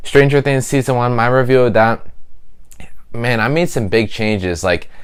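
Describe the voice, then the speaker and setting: A man with an unremarkable speaking voice, medium pitch, and a fairly quick pace. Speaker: YouTube TV reviewer. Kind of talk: casual video review.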